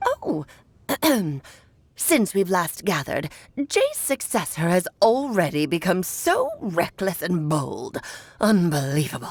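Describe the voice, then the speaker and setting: Using a put-on character voice at medium pitch, a woman speaks at a fairly slow pace with long, frequent pauses. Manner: haughty, scolding.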